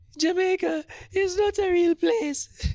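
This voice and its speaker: A squeaky, put-on character voice at an extremely high pitch. It moves at a fairly slow pace. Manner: mocking.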